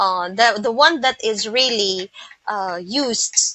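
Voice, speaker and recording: A woman with an American accent talks at a fairly high pitch with ordinary pitch variation. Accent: American-leaning. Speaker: English teacher. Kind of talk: tutorial. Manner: halting.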